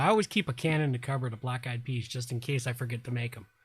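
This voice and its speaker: With an American accent, the voice sounds somewhat breathy. Its intonation is fairly even. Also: man. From US South. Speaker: live stream host. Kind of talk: casual chat. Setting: live stream.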